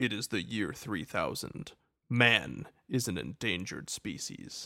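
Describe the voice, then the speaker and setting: Using a put-on character voice at a fairly low pitch, a man talks at a fairly slow pace on a very clean recording with a silent background. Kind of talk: trailer voice-over. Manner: dramatic.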